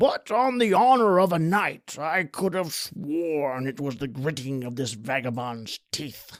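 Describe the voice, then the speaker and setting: A man puts on a character voice with a fairly high pitch. It swings very widely up and down in pitch. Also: fairly slow pace, hardly any pauses. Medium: audio drama. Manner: loud, blustering.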